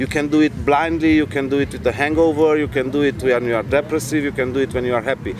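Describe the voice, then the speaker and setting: Music plays behind a man speaking at a medium pitch. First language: not English. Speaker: traveler. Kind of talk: talk to audience. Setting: live event with audience.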